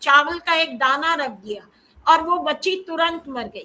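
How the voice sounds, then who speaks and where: A woman's raised, projected voice, bright and sharp in tone, with ordinary pitch variation. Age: 60s. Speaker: professor. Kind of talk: panel discussion talk.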